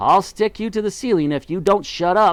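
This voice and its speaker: This man speaks at a moderate pace in a high pitch. He is doing a put-on character voice. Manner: snapping angrily.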